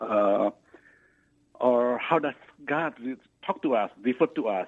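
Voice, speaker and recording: Lively in intonation, the speaker talks at a fairly slow pace with a non-native accent. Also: man. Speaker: caller. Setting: phone call.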